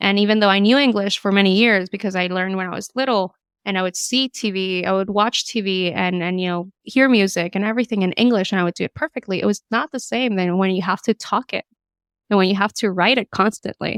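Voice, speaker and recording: A woman talks at a fairly quick pace with fairly even intonation. The sound is dry and close, with no echo. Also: very clean recording, silent background. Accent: Spanish. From Latin America, lived in Florida ages 5 to 10. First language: Spanish. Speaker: podcast co-host. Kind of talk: casual chat. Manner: hesitant with frequent repetitions.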